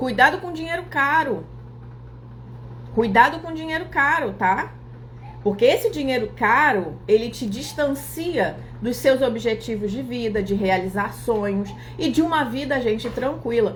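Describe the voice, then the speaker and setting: In a room with audible echo, a woman speaks at a fairly slow pace in an animated tone with lively intonation. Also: fairly high pitch for a woman. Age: 40s. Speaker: accountant and finance influencer. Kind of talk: live stream talk.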